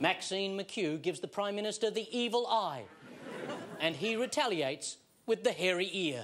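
The speaker is a man with a high pitch. Noticeable background noise is present. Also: lively intonation, moderate pace. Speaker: TV comedy host. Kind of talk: comedy TV monologue. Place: studio. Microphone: lapel.

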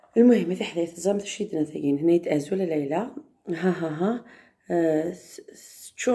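Her tone is dark and mellow. The woman is heard over a quiet background. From Algeria. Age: 30s. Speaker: vlogger. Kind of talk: casual vlog talk. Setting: outdoors in courtyard. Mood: upset about a comment. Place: home room. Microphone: phone near.

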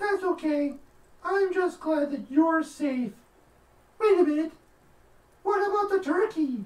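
A cartoonish, female-sounding character voice at an extremely high pitch, fairly slow, with long, frequent pauses. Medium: puppet show. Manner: exasperated, folksy.

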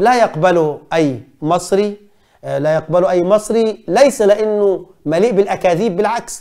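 A man speaks in an animated tone with lively intonation. The background is quiet. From Egypt. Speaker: journalist and commentator; journalist, commentator. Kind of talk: film review monologue. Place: studio. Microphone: lapel.

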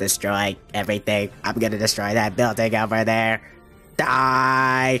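Over clear background music, a man does a put-on character voice at a medium pitch and a moderate pace. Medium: fan dub.

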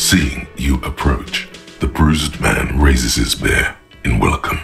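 Putting on a character voice, a man speaks slowly at an extremely low pitch with vocal fry and a fairly bright tone while faint music plays in the background. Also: ordinary pitch variation.

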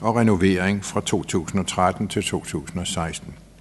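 A man's voice with light background noise. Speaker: council chair. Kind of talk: formal report reading. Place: meeting room. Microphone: podium.

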